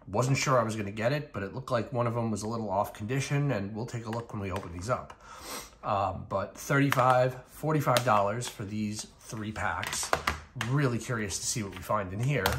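A man speaks at a moderate pace with ordinary pitch variation over noticeable background noise. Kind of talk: casual vlog chat. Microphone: phone near.

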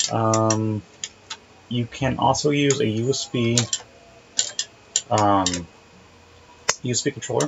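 The speech has long, frequent pauses, with noticeable background noise throughout. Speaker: hobbyist reviewer. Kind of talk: casual commentary while playing.

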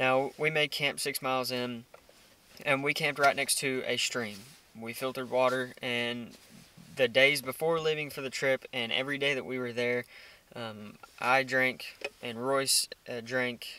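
An American-accented man speaks with monotone, flat intonation. His moderate pace comes through in a dry sound with no echo. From Texas. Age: 20s. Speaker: outdoor hunting vlogger. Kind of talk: casual chat. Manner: filler-heavy. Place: car. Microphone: phone near.

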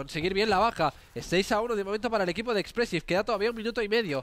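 A man's high voice, very fast pace and lively intonation. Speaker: esports commentator. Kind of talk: live commentary.

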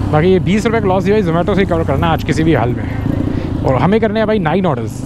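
The sound is dry with no echo, and noticeable background noise is present. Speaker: food delivery rider vlogger. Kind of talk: casual vlog chat. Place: motorbike. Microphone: helmet.

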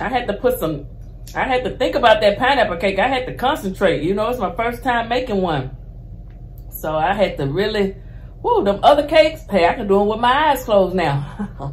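A woman's voice with very wide pitch swings, at a fairly quick pace. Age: 50s. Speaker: cooking show host. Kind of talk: cooking tutorial. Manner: animated. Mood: cheerful, animated. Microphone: phone near.

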